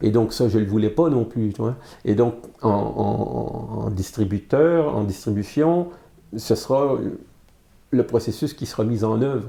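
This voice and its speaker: A man's dark, mellow voice at medium pitch with vocal fry, ordinary pitch variation, a very slow pace and long, frequent pauses. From Quebec, Montreal. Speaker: comic book artist and publisher. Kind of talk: interview. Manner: halting, many fillers and repetitions.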